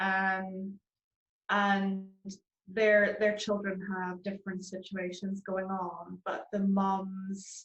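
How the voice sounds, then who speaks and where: With a Northern Irish accent, a woman speaks at a medium pitch in a somewhat breathy, flat monotone. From Northern Ireland, Belfast. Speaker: charity founder. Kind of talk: interview. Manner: hesitant, many fillers.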